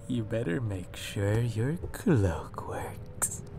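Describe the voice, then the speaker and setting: A put-on character voice, low-pitched and very slow, over loud background noise. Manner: menacing.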